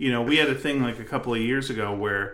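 This voice has a Canadian accent, an animated delivery and a bright, sharp tone. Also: man. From Canada. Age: 50s. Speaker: podcast host. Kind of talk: casual comedic banter. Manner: jokey, animated.

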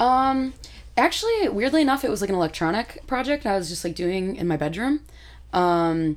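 In an American accent, a woman at a medium pitch swings very widely up and down. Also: moderate pace. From Michigan. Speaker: musician. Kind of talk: casual chat.

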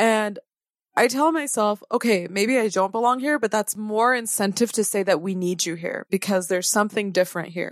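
An unremarkable speaking voice at a fairly quick pace, with a dry, close sound and no echo. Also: woman. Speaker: podcast co-host, resident physician. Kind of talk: casual podcast conversation. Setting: virtual studio, remote recording.

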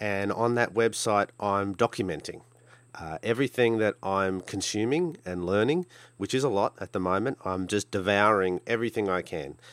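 Recorded very cleanly against a silent background, with a dry, close sound and no echo, a man with an Australian accent speaks at a moderate pace and a fairly low pitch with ordinary pitch variation. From Australia, Brisbane. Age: 40s. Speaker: podcast host, hobby gambler. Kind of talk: solo podcast monologue. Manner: casual with frequent fillers.

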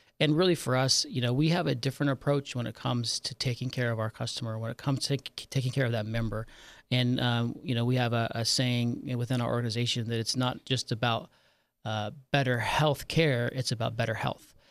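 In an American accent, a man uses a normal speaking voice of medium pitch at a fairly quick pace with fairly even intonation, on a very clean recording with a silent background. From Nevada, US (Virginia City). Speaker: health insurance executive. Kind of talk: interview. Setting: studio.

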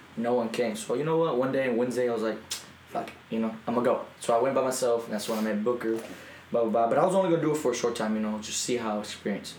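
A man with a medium pitch and ordinary pitch variation talks at a very fast pace over noticeable background noise. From Mexico, moved to US around age six. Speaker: professional wrestler. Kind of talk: casual chat.

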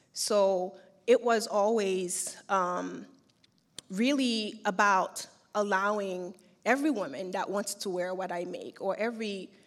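A woman speaks with a Haitian accent at a medium pitch and ordinary pitch variation. The recording is very clean, with a silent background. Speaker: fashion brand founder. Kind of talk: interview. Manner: hesitant, many fillers.

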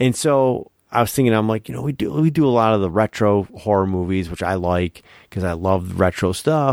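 An unremarkable speaking voice from a man, fairly low in pitch, with lively intonation at a moderate pace, dry and close with no echo, on a very clean recording with a silent background. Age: 40s. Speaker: horror movie podcast co-host. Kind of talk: casual chat.

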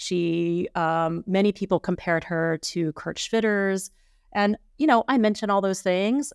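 An ordinary speaking voice from a woman with an American accent, fairly slow, in a dry, close sound with no echo. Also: medium pitch for a woman, ordinary pitch variation, very clean recording, silent background. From Texas Panhandle. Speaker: art historian, professor. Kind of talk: interview about her book. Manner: thoughtful, many filler words.

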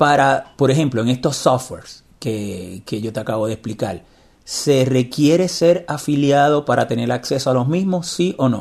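At a moderate pace, a man with medium pitch and lively intonation talks in an unremarkable speaking voice. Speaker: podcast host, blind technology advocate. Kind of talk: interview.

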